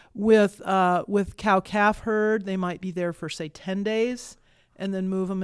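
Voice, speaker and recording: With an American accent, a woman at medium pitch speaks at a fairly slow pace in a monotone, flat intonation on a very clean recording with a silent background. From Kansas. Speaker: director of a prairie research center. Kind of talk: casual interview.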